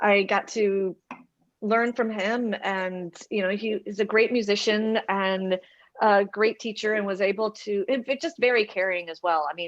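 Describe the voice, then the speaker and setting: A woman speaks in a Southern US accent at a fairly slow pace. Her intonation is fairly even against a quiet background. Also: medium pitch for a woman. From US South, Atlanta. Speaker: choral conductor. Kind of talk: casual interview.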